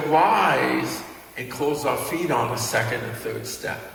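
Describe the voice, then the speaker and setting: A man with a Brooklyn accent and a fairly high pitch is heard with audible room echo and noticeable background noise. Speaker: dance instructor. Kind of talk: tutorial.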